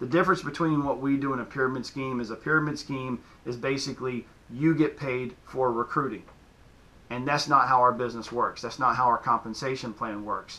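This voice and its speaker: Talking at a fairly quick pace, a man speaks in a Southern US accent. His medium-pitched voice holds fairly even intonation. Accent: southern twang. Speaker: fitness coach. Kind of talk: casual explainer video. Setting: home gym in basement.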